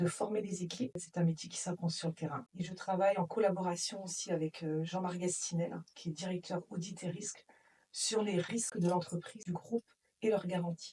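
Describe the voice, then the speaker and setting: Somewhat breathy and dark, mellow in tone, a woman's voice keeps a moderate pace with ordinary pitch variation. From Brittany, north Finistère, France. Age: 40s. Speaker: insurance claims manager at a transport company. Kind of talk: interview testimony.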